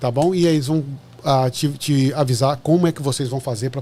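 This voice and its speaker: A man's somewhat breathy voice at medium pitch, dark and mellow in tone, with fairly even intonation and a very fast pace. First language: Portuguese. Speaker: podcast host. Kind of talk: casual interview. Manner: halting.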